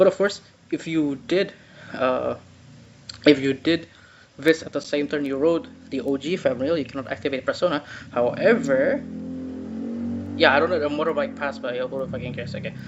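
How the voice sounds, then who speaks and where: Noticeable background noise sits under speech that goes at a moderate pace. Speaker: card game content creator. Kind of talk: casual reaction commentary. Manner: stuttering, excited.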